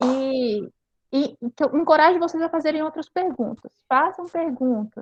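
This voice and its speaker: A woman speaks at a high pitch and a fairly slow pace, with ordinary pitch variation. The sound is dry and close, with no echo. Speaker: high school teacher. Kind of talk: online class.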